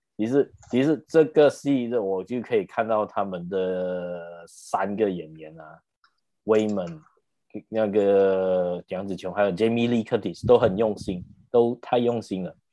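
Against a quiet background, a man speaks at a fairly slow pace. His tone is dark and mellow, with ordinary pitch variation. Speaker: podcast host. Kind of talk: casual chat; plot summary narration.

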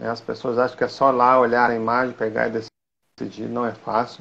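A man talks fairly quickly at a medium pitch. His is an unremarkable speaking voice. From Minas Gerais, Brazil (Belo Horizonte). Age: 40s. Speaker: football referee and nurse. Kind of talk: interview, casual chat. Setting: video call.

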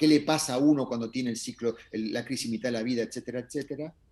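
Speaking very fast, a man keeps a medium pitch. His intonation stays fairly even. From Argentina. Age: 60s. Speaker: astrologer. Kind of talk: interview conversation.

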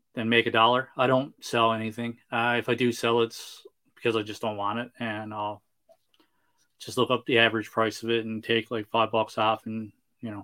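A man with a Newfoundland accent speaks at a moderate pace and a medium pitch, in a monotone, flat intonation. His tone is bright and sharp, and the recording is very clean with a silent background. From Newfoundland, Canada. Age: 30s. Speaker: toy collector and YouTube reviewer. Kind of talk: casual chat.

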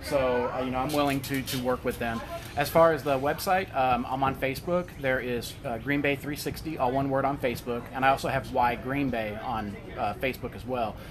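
A man at medium pitch, moderate pace and fairly even intonation, with noticeable background noise. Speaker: 360 video and VR creator. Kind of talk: casual interview.

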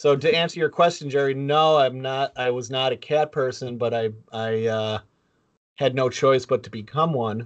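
Medium in pitch, this man has an ordinary speaking voice with ordinary pitch variation. He moves at a moderate pace against a quiet background. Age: 50s. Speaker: podcast co-host. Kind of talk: casual chat.

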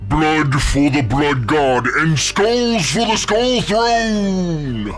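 A man talks at a very slow pace in a put-on character voice. Clear background noise runs behind him. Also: fairly high pitch for a man. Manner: angry, shouting a war cry.

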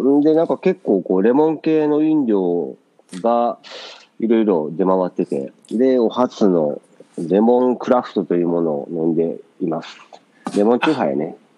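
Speaking with a Kansai accent, a man uses a fairly low pitch with very wide pitch swings. His pace is moderate. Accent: Kansai dialect Japanese. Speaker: podcast co-host. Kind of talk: casual chat. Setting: remote call from Japan, morning.

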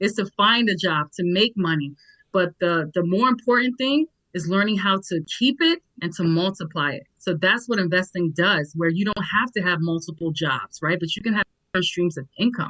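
In an American accent, a woman with an unremarkable speaking voice talks at a moderate pace, her medium pitch showing ordinary variation. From New York (Nigerian born). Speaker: educator and digital entrepreneur. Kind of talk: panel discussion.

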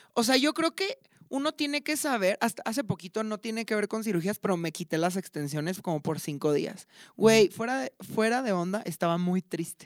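Very wide pitch swings mark a woman's medium-pitched, fairly quick speech, in a very clean recording with a silent background and a dry, close sound with no echo. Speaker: podcast co-host. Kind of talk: casual chat. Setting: university studio.

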